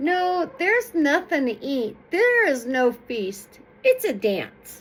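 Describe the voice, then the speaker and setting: Using a put-on character voice, a woman speaks very slowly at a high pitch with very wide swings. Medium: read story. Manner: sly.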